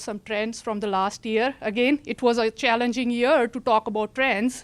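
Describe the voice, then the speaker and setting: A fairly high-pitched woman talks at a moderate pace with hardly any pauses. Her intonation is fairly even, and the sound is dry and close with no echo. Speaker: county land use director. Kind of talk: presentation. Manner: halting.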